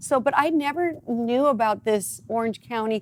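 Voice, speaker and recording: An animated woman with a high pitch, lively intonation and a slight Midwestern US accent, at a moderate pace. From US Midwest. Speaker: talk show host. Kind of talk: casual interview chat.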